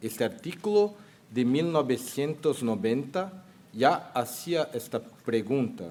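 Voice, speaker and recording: The speaker has a Brazilian accent and talks at a very slow pace. The pitch swings very widely. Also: man, medium pitch for a man. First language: Portuguese (speaking Spanish). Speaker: surgeon and professor, panel moderator. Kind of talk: medical conference lecture.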